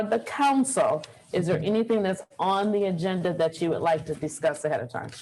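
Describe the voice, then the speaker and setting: A woman with an unremarkable speaking voice talks at a medium pitch and a fairly quick pace with ordinary pitch variation. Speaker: mayor chairing council meeting. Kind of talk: council meeting chairing. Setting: hybrid council meeting.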